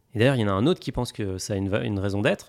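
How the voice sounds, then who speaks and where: A man's voice with ordinary pitch variation, in a very clean recording with a silent background. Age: 30s. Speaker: fintech founder. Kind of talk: casual chat.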